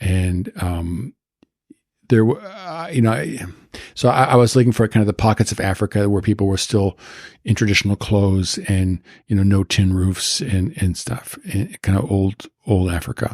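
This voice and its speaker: A man with a General American accent speaks at a moderate pace and a fairly low pitch, with ordinary pitch variation. The recording is very clean, with a silent background and a dry, close sound with no echo. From US West Coast, Beverly Hills California. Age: 60s. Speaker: photographer. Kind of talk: interview. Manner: halting, many repeated words.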